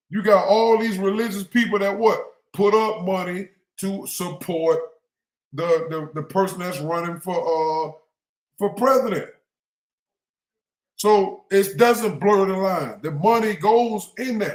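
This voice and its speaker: Loud and high-pitched, a man speaks at a fairly slow pace with long, frequent pauses. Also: ordinary pitch variation. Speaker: religious livestream host. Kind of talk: livestream commentary.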